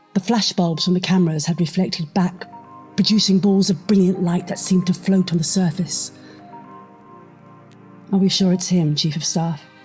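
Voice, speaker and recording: Music plays behind a woman speaking in a fairly low pitch. Her intonation is monotone and flat, with long, frequent pauses. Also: moderate pace. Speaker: narrator / voice-over artist. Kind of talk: spy thriller narration.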